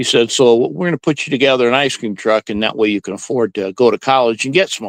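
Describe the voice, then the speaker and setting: A man speaks in a plain, everyday voice at a medium pitch and a fairly quick pace. His pitch varies in an ordinary way, and the sound is dry and close with no echo. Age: 60s. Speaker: ice cream truck driver. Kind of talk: interview.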